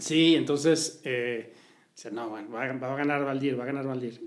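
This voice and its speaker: Speaking with a Mexico City accent, a man keeps a fairly high pitch, a moderate pace and fairly even intonation, with audible room echo around him. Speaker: social listening agency executive. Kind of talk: interview. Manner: hesitant, many fillers.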